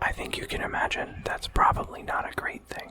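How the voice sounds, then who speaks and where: Noticeable background noise surrounds a whisper delivered at a fairly slow pace. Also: man. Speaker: ASMR artist and gaming streamer. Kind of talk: ASMR let's play commentary. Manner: whispered, soft-spoken.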